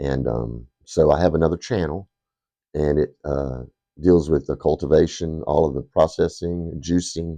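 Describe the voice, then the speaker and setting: Over a quiet background, a dark, mellow voice with vocal fry moves at a moderate pace with ordinary pitch variation. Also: man. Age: 60s. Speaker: pipe reviewer, YouTuber. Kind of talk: casual chat. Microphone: cheap secondhand microphone.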